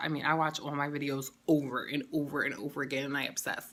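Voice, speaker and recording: A woman with a New York accent speaks very fast in a very deep, low voice. Her tone is animated. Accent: New York City. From New York City, the Bronx. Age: 30s. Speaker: beauty and lifestyle vlogger. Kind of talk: casual get-to-know-me vlog.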